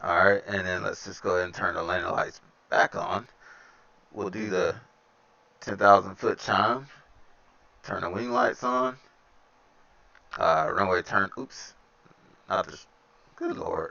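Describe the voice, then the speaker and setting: Speaking with a Southern US accent, a man goes at a fairly slow pace in a relaxed tone, with long, frequent pauses and big swings in loudness. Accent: Southern US accent, noticeable. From Alabama. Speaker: flight sim streamer. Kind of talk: casual live-stream chat with flight commentary. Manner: relaxed, conversational with fillers.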